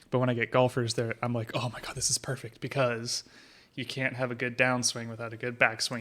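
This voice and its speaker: Loud and bright, sharp in tone, a man speaks at a medium pitch. His pace is fairly quick and his intonation monotone and flat. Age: 20s. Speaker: pole vault coach. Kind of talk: casual chat. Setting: studio.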